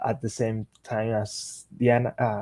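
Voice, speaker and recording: A man's dark, mellow voice in a Spanish accent, medium in pitch, at a fairly slow pace with fairly even intonation and a dry, close sound with no echo. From Colombia. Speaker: software engineer and tech speaker. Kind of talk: technical presentation. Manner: halting, with frequent fillers.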